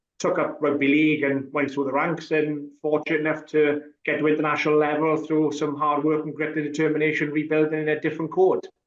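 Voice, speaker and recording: A man with a strong Welsh accent talks at a very fast pace in a fairly high voice, monotone and flat, with hardly any pauses. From Wales. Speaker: rugby referee. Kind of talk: podcast interview.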